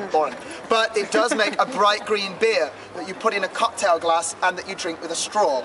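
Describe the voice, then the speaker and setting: A man's raised, projected voice, high in pitch with ordinary pitch variation, at a moderate pace over noticeable background noise. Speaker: tour guide. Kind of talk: guided tour talk to a group. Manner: loud; animated, jokey.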